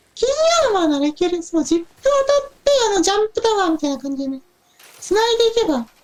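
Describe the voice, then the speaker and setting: Putting on a character voice, a man talks at a very fast pace with an extremely high pitch. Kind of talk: casual game commentary. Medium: role play.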